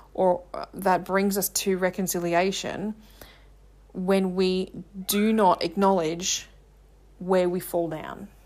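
Someone with an Australian accent speaks at a fairly slow pace on a very clean recording with a silent background. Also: woman. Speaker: confidence coach and podcast host. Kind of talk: solo monologue.

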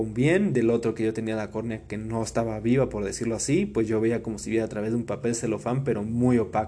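A man with an unremarkable speaking voice and medium pitch talks at a fairly quick pace. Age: 20s. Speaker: podcast host. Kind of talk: personal storytelling monologue. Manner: casual, filler-heavy with repetitions.

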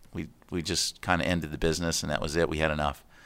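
Speaking in an American accent, a man with a very deep, low pitch keeps his intonation fairly even, his tone bright and sharp. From US East Coast (Connecticut and Florida). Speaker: retired flight attendant and community volunteer. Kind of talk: casual interview.

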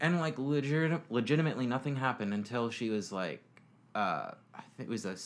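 A man with an American accent speaks in an ordinary speaking voice at a fairly quick pace. His pitch varies in an ordinary way on a very clean recording with a silent background. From Florida. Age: 20s. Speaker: podcast interviewee. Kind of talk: casual interview about personal life.

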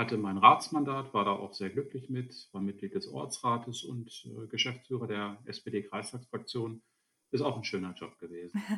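An ordinary speaking voice from a man, medium-pitched and moderately paced, with lively intonation and big swings in loudness. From Lower Saxony, Germany (Alfeld). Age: 50s. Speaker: state politician. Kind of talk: interview.

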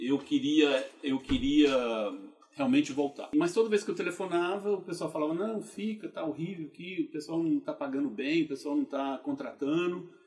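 A man's high voice at a moderate pace, with very wide pitch swings and noticeable background noise. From Brazil, Goiânia, Goiás. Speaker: geologist turned entrepreneur. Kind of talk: interview storytelling.

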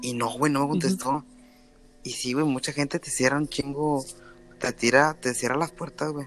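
With music in the background, a man speaks at a fairly high pitch with fairly even intonation, leaving long, frequent pauses. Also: moderate pace. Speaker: podcast host. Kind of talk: casual chat.

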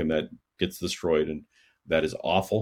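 A man speaking at a fairly quick pace in a monotone, flat intonation. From Canada. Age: 50s. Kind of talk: casual chat. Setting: video call.

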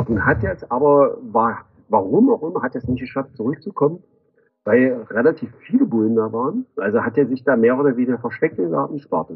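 Fairly quick delivery from a man at a medium pitch. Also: lively intonation. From Magdeburg, eastern Germany. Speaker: graffiti artist. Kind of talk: interview. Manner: halting, many fillers.

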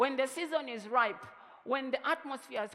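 A man talks at an extremely high pitch in a raised, projected voice with an animated tone. His pace is moderate, and noticeable background noise is present. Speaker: pastor. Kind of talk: sermon.

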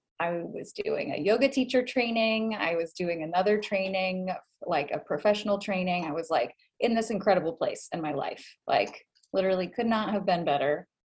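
A woman's normal speaking voice at a medium pitch, fairly quick, with ordinary pitch variation. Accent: American. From US, Boston area (Massachusetts). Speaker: life and love coach. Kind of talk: casual interview chat.

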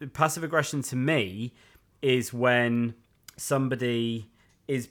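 In a very clean recording with a silent background, a man with a Yorkshire accent talks at a medium pitch. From West Yorkshire, Leeds. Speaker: podcast co-host. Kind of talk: casual chat.

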